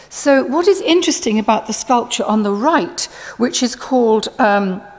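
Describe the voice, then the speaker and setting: A woman at a high pitch with very wide pitch swings, speaking at a moderate pace over noticeable background noise. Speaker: art historian. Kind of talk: conference lecture.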